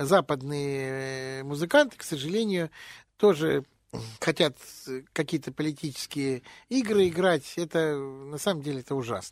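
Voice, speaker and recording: A man with a fairly high voice speaks at a fairly slow pace with long, frequent pauses and ordinary pitch variation. The sound is dry and close, without echo. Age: 60s. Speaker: jazz and blues vocalist. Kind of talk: radio interview.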